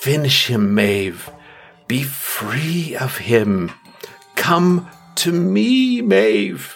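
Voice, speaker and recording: A man speaks very slowly in a put-on character voice at a medium pitch. Faint music plays in the background. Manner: cackling, commanding, tempting.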